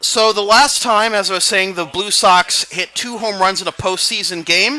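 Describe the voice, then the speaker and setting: A man's high, raised, projected voice with ordinary pitch variation. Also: moderate pace. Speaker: sportscaster. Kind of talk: baseball play-by-play commentary. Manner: excited.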